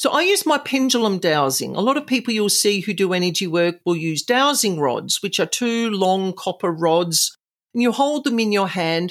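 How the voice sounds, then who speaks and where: The speaker, with an Australian accent, moves at a moderate pace. Loudness stays very even while the pitch swings very widely. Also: woman, medium pitch for a woman. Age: 50s. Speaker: psychic and paranormal house cleanser. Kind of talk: interview, storytelling. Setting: remote interview.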